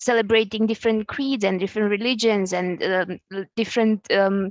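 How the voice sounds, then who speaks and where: With a non-native accent, a woman speaks at a moderate pace and a fairly high pitch, her intonation fairly even and the sound dry and close with no echo. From Eastern Europe. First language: not English. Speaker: graduate employee. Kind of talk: panel discussion.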